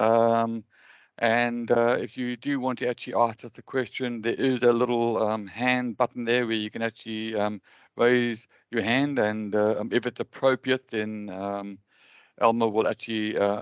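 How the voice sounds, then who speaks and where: Over a quiet background, a man with a medium pitch speaks at a moderate pace with monotone, flat intonation, the sound dry and close with no echo. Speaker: webinar host, cost engineering association member. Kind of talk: webinar presentation. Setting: video call webinar. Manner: halting, many fillers.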